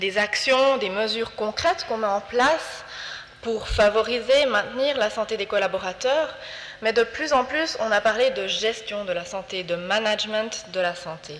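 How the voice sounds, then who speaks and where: A woman with a Swiss French accent and lively intonation, against noticeable background noise. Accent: Fribourg Swiss French. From Switzerland, Fribourg. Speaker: health promotion foundation representative. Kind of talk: presentation talk.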